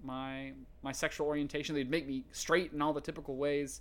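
A man with an unremarkable speaking voice and an American accent, fairly high in pitch, at a moderate pace on a very clean recording with a silent background. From US South, rural East Tennessee. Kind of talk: interview testimony.

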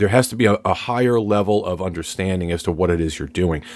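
Speaking in a normal speaking voice, a man with fairly low pitch and lively intonation moves at a fairly quick pace. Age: 50s. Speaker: podcast co-host. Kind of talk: casual chat.

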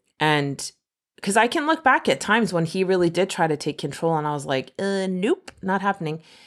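An unremarkable speaking voice: a woman at medium pitch, fairly quick, with lively intonation over a very clean recording and a silent background. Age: 40s. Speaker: podcast host. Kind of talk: casual chat.

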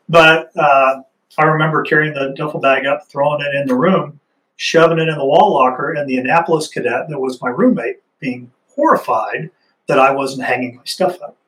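Speaking at a fairly quick pace, a man uses an ordinary speaking voice pitched fairly high. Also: ordinary pitch variation. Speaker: Army Ranger veteran, nonprofit executive director. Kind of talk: interview.

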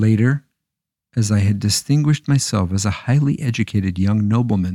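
In a dark, mellow tone, a man delivers a dramatic reading at a moderate pace, the sound dry and close with no echo on a very clean recording with a silent background. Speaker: storyteller. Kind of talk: dramatic narration of a historical tale, storybook style with character dialogue. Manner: dramatic, measured, expressive.

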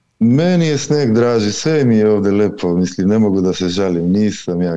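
A man speaks with a Macedonian accent at a moderate pace. His pitch is fairly low. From North Macedonia. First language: Macedonian (speaking Croatian). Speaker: caller. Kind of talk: video call question to spiritual teacher.

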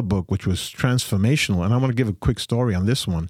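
A man with lively intonation at a very fast pace, in a very clean recording with a silent background and a dry, close sound with no echo. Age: 60s. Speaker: pastor and theologian. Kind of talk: casual chat.

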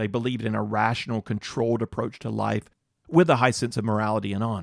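In an ordinary speaking voice with an American accent, a man talks fairly quickly at a medium pitch. The sound is dry and close with no echo, and the recording is very clean against a silent background. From North Carolina. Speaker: Bible teacher. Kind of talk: Bible teaching lecture.

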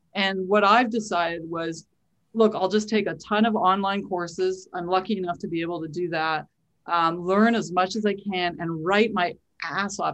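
Using a plain, everyday voice, a woman with a Canadian accent speaks at a moderate pace with ordinary pitch variation. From Canada, Winnipeg. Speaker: singer-songwriter. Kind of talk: casual interview chat.

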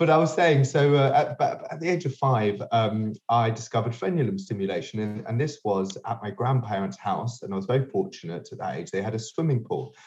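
Somewhat breathy speech in a London accent, with lively intonation. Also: man. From London, England. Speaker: sex toy inventor and entrepreneur. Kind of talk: interview. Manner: halting, many repetitions.

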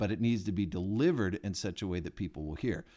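A man talks in a plain, everyday voice at a fairly low pitch. He moves at a fairly quick pace with ordinary pitch variation. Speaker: podcast host. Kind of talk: interview. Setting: makeshift studio at a summit.

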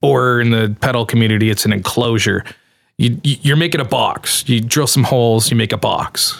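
A man with a Canadian accent speaks in a plain, everyday voice at medium pitch and a moderate pace. His loudness stays very even, with ordinary pitch variation. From Canada. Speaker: pedal enclosure maker. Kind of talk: interview.

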